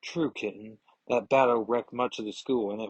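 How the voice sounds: Fairly even intonation in a natural reading voice, set against a quiet background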